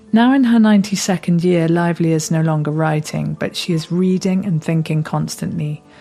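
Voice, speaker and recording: With music in the background, a woman speaks at a moderate pace in a fairly low voice with ordinary pitch variation. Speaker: podcast interviewer. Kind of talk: podcast introduction.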